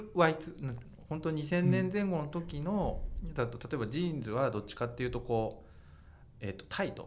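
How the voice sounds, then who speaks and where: Amid noticeable background noise and audible room echo, a man with a fairly high voice speaks at a moderate pace with lively intonation. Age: 40s. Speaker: fashion journalist and podcast host. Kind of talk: casual chat.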